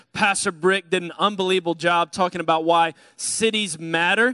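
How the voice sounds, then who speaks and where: A man speaks in a raised, projected voice with a bright, sharp tone at a moderate pace. The sound is dry with no echo, and the background is quiet. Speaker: pastor. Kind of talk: sermon. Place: church. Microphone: handheld.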